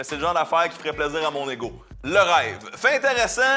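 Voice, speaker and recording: Over music in the background, a man talks at a fairly quick pace in a raised, projected voice with an upbeat, energetic tone. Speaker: comedy show host. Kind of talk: comedic community TV host talk.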